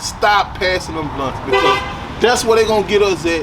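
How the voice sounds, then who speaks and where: With an American accent, a man speaks in a high pitch. Noticeable background noise is present. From Detroit, Michigan, then Baton Rouge, Louisiana from age nine. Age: 40s. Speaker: rapper. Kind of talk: interview.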